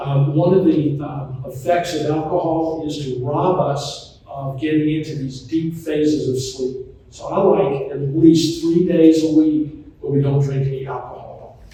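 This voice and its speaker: A man with an American accent speaks at a fairly slow pace and a fairly high pitch, with fairly even intonation. Audible room echo and noticeable background noise are present. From US South, Charlotte, North Carolina. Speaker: physician and author. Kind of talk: talk to retirement community audience. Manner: conversational, informal.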